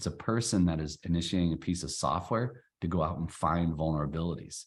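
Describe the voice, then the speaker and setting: A man with a very deep, low pitch talks at a fairly quick pace. His pitch varies in an ordinary way, and the background is quiet. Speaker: cybersecurity IT provider. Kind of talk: webinar presentation. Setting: online webinar. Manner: fast.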